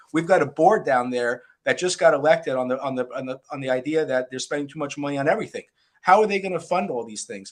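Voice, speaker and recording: A man's very fast speech with an American accent, fairly high in pitch, with ordinary pitch variation and big swings in loudness. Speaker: talk show host. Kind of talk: interview. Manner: halting.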